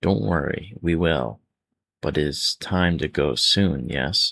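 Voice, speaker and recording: A man's put-on character voice, very deep and low, with lively intonation and a fairly slow pace. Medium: read story. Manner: clipped broken English.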